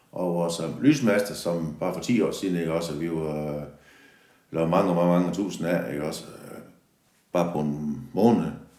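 With audible room echo, a man speaks at a fairly slow pace in a very deep, low pitch and a dark, mellow tone, with ordinary pitch variation. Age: 60s. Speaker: factory yard worker. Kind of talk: interview. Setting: factory. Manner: halting.

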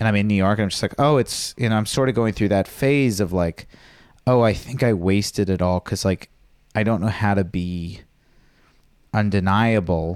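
A normal speaking voice with an American accent, moderate pace, ordinary pitch variation and very even loudness on a very clean recording with a silent background. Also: man, fairly low pitch for a man. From Virginia. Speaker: stand-up comedian. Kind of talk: casual chat.

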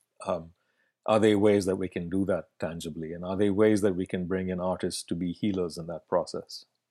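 A man speaks in a flat monotone. His pitch is very deep and low. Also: fairly quick pace. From Bangalore, south India. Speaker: festival artistic director and curator. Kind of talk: interview conversation. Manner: hesitant, many filler words.

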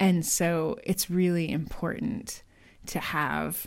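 Very slowly, a woman speaks in a fairly low voice. Vocal fry runs through her speech. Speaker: podcast co-host and editor. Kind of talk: casual chat, editing critique discussion.

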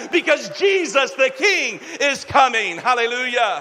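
Raising and projecting his voice over noticeable background noise, a man speaks at a fairly slow pace with very wide pitch swings. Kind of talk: sermon. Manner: animated, exhortative pulpit delivery with call-and-response.

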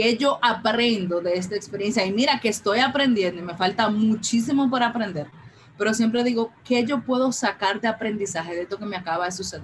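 Fairly quick speech from a woman with a fairly high pitch and ordinary pitch variation, over noticeable background noise. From Dominican Republic, Santo Domingo. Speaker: breast cancer survivor. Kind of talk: interview testimony.

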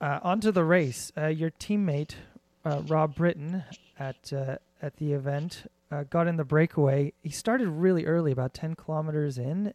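Dark and mellow in tone, a man's fairly high voice carries ordinary pitch variation in a dry, close sound with no echo. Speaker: podcast host. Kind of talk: podcast interview.

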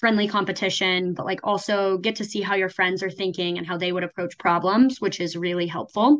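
A woman with an American accent has a plain, everyday voice at a medium pitch. Her intonation is fairly even over a quiet background. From Oklahoma. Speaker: MBA student. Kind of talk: casual interview.

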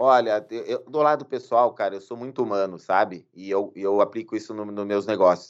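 In a quiet background, a man with a normal speaking voice talks at a fairly slow pace, with a fairly low pitch and ordinary pitch variation. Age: 40s. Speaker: lawyer. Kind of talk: interview conversation.

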